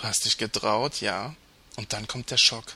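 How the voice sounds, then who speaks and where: Speaking at a fairly slow pace, the man keeps his intonation fairly even. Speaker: podcast co-host. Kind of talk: scripted commentary segment. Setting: Skype call with webcam.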